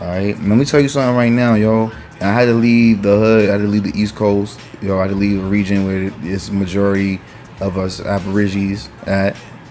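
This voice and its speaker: Over noticeable background noise, a man talks at a fairly quick pace in an animated tone. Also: fairly low pitch for a man. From New York (Mount Vernon). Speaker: political commentary vlogger. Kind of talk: casual opinion rant. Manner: animated, profanity-laden, frequent fillers.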